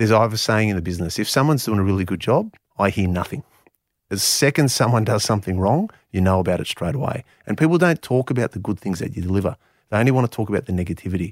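A man with a fairly low pitch talks at a very fast pace with lively intonation. The recording is very clean, with a silent background and a dry, close sound with no echo. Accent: Australian. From Canberra, Australia. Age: 40s. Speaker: property developer. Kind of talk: interview.

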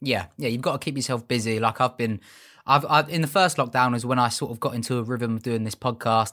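The recording is very clean with a silent background as a man rattles along at a very fast pace, his medium pitch showing ordinary variation. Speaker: podcast host. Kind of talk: casual interview chat.

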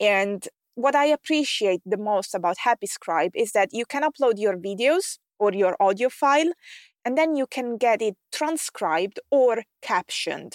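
A woman speaks in an Italian accent at a moderate pace with lively intonation. The recording is very clean and the background silent. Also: fairly high pitch for a woman, dry, close sound with no echo. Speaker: podcast host and tech expert for online coaches. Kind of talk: solo podcast monologue, scripted-style tutorial.

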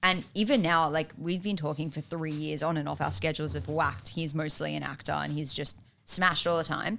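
With a very deep, low pitch and vocal fry, a woman talks at a fairly quick pace with hardly any pauses, her tone bright and sharp and her pitch variation ordinary. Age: 20s. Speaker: film producer, writer and director. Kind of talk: casual chat.

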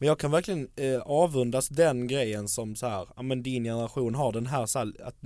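A man with a medium pitch is heard on a very clean recording against a silent background. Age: 20s. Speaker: podcast guest. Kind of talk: casual chat. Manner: animated.

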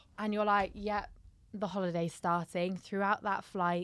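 In a London accent, a woman speaks at a medium pitch and moderate pace with fairly even intonation on a very clean recording with a silent background. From South London. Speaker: comedian and content creator. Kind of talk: casual chat.

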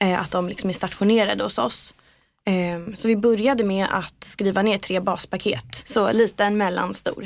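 A woman's medium-pitched voice with vocal fry, ordinary pitch variation and a moderate pace. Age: 20s. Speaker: PR agency co-founder. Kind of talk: interview. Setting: podcast studio.

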